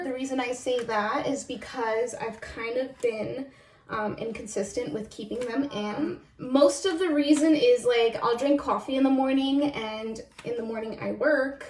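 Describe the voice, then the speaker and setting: There is noticeable background noise as a woman talks at a moderate pace. Her voice is high in pitch, with ordinary pitch variation. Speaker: video blogger. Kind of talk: casual chat. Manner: casual, filler-heavy.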